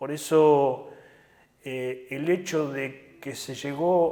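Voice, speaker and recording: A man talks with a fairly high pitch and ordinary variation in it. Background noise is noticeable. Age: 60s. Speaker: trade union leader. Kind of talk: interview. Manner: hesitant fillers.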